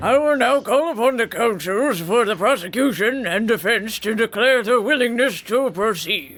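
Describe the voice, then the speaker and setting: A man puts on a character voice at an extremely high pitch, speaking at a moderate pace with faint music behind him. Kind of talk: formal courtroom speech. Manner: pompous, formal.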